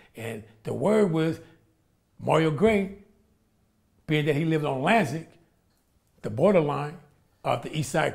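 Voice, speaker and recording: Against a quiet background, a man talks at a moderate pace with vocal fry. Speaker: interviewee. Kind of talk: interview answer. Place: home room.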